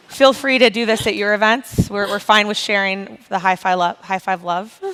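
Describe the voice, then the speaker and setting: With noticeable background noise, a woman speaks in fairly even intonation. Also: medium pitch for a woman, moderate pace. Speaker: nonprofit founder. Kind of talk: panel discussion. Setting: stage with audience.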